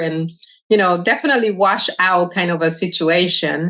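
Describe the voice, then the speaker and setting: With a Spanish accent, the woman talks at a medium pitch. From Dominican Republic. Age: 50s. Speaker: retired army veteran. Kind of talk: interview.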